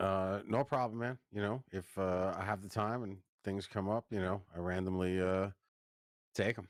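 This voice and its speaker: In a New York accent, a man keeps his intonation fairly even on a very clean recording with a silent background. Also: fairly low pitch for a man, moderate pace. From Long Island, New York. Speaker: business founder. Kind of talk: podcast interview.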